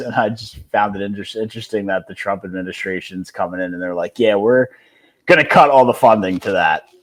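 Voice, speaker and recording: Ordinary pitch variation runs through a very clean recording with a silent background. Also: man. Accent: Philadelphia. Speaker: sports podcast co-host. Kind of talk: casual chat.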